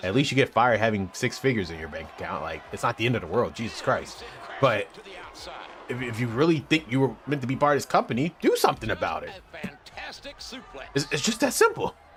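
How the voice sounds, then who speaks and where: Over noticeable background noise, a man talks at a very fast pace broken by long, frequent pauses. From Philadelphia, US. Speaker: gaming streamer. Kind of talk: live stream commentary.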